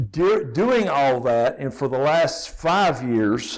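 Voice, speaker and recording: A man speaks in an Appalachian accent. His pitch sits fairly high. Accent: Southern US (Appalachian) accent, noticeable. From East Tennessee (Elizabethton). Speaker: safety trainer. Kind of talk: presentation to an audience.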